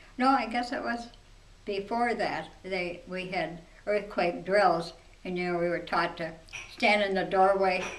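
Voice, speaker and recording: Over noticeable background noise and audible room echo, a woman with an American accent speaks at a fairly slow pace and medium pitch, with ordinary pitch variation. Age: 90s. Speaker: eyewitness interviewee. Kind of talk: interview reminiscence. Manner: halting.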